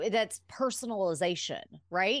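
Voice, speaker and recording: A woman in a plain, everyday voice speaks at a fairly slow pace against a quiet background. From Alabama, US South. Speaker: pharmacist and wellness speaker. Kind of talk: casual interview chat.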